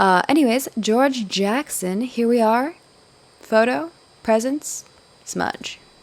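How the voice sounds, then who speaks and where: Over noticeable background noise, a woman with a fairly high pitch speaks at a very slow pace, using ordinary pitch variation and long, frequent pauses. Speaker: gaming video creator. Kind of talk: gameplay tutorial. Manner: casual with many fillers.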